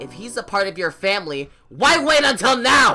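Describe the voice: Put-on character voice with a bright, sharp tone, big pitch swings, moderate pace, and faint music in the background.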